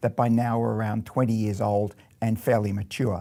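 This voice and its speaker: A dark, mellow voice with an Australian accent at a fairly quick pace, on a very clean recording with a silent background. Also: man. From Australia (Melbourne). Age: 60s. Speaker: robotics professor. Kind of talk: scripted narration.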